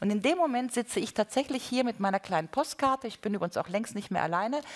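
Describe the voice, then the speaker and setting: Her intonation is lively. The woman talks at a very fast pace. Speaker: panel discussant. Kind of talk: panel discussion argument. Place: hall.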